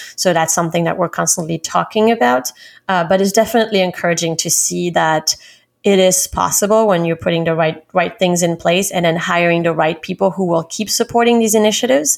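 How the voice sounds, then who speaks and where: In a French accent, a woman talks at a fairly quick pace with a fairly low pitch, ordinary pitch variation and very even loudness, on a very clean recording with a silent background. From France, Paris. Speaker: recruiting director. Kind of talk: interview.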